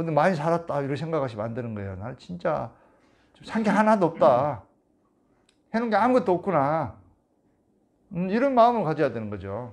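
Against a quiet background, the speaker talks at a fairly quick pace with long, frequent pauses and very wide pitch swings. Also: man, fairly high pitch for a man. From South Korea. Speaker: meditation teacher. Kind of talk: lecture. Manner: casual. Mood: earnest, exhorting. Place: home room. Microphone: lapel.

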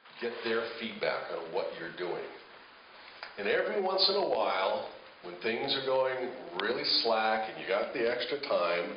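The speaker has a relaxed tone and a fairly slow pace, with audible room echo and light background noise. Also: man. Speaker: radio imaging director and producer. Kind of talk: conversational talk to camera about radio production, anecdote. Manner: relaxed, conversational, storytelling. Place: hall.

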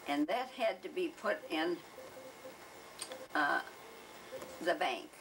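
A woman talks at a very slow pace with a fairly high pitch and very wide pitch swings. Background noise is noticeable. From Michigan, USA. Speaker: oral history interviewee. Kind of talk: oral history interview answer. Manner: hesitant, reminiscing. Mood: warm reminiscing. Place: home room.

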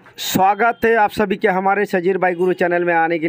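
A man's voice with ordinary pitch variation, dry with no echo, over light background noise. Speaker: moto vlogger. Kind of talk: casual vlog chat. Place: street. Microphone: phone near.

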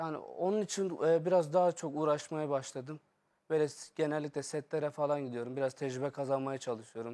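The voice has a dark, mellow tone and ordinary pitch variation at a fairly quick pace. The recording is very clean, with a silent background. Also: man, fairly high pitch for a man. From Şanlıurfa, southeastern Turkey; in Istanbul since age 9. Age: 20s. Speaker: hotel worker and aspiring actor, impressionist. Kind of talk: street interview.

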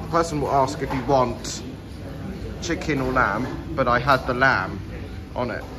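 Male speech against noticeable background noise. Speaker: vlogger. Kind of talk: casual vlog chat. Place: shop. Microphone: phone near.

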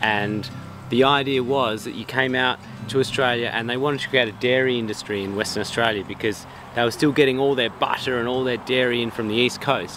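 A man at a fairly quick pace with fairly even intonation, the sound dry with no echo amid noticeable background noise. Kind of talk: casual explanatory chat. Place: open country.

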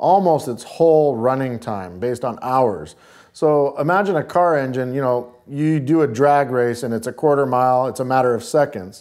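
The speaker keeps a moderate pace with ordinary pitch variation. The background is quiet. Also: man. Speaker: guest. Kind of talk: interview answer. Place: studio. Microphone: lapel.

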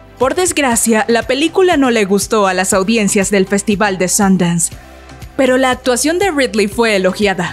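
With music in the background, a woman at a fairly high pitch speaks at a moderate pace, her intonation lively and her loudness very even. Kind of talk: celebrity biography narration.

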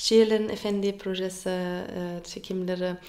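A woman talks at a fairly slow pace with monotone, flat intonation. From Germany. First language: German (speaking Turkish). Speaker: actress; actress being interviewed. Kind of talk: interview. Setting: radio interview in Istanbul. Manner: halting, with many fillers. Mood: cheerful, smiling. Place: home room. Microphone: phone near.

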